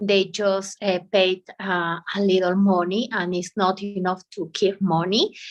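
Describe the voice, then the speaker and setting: In a monotone, flat voice, a woman talks at a fairly slow pace with hardly any pauses. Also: medium pitch for a woman. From Bolivia. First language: Spanish. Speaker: English student, law professional. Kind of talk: language class conversation. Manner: halting.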